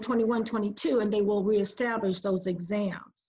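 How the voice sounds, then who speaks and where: There is ordinary pitch variation in a woman's voice. She talks at a fairly quick pace. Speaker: school district administrator. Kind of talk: webinar panel discussion. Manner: fast.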